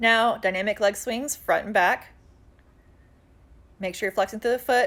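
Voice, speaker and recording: On a very clean recording with a silent background, a woman with an ordinary speaking voice talks at a fairly high pitch with fairly even intonation. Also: moderate pace. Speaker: fitness instructor. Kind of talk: tutorial. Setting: outdoors.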